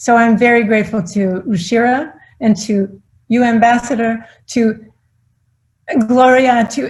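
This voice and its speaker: Somewhat breathy, a woman speaks with a fairly high pitch and ordinary pitch variation. Behind her, the background is quiet. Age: 60s. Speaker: philanthropist. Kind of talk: acceptance speech.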